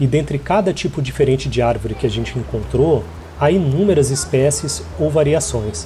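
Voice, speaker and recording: With audible room echo and noticeable background noise, a man talks at a moderate pace in a medium pitch, his voice swinging very widely up and down. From Brazil. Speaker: immigrant video essayist. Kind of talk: scripted narration.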